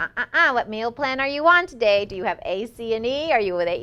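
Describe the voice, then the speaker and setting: A woman puts on a whiny, high-pitched character voice. She rushes through it at a very fast pace in that whiny tone. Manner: whiny, nagging.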